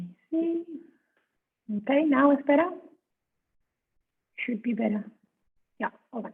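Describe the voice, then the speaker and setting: A soft-spoken woman at a fairly slow pace, with lively intonation. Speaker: yoga teacher. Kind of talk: guided yoga class instruction. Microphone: too quiet at first, then adjusted.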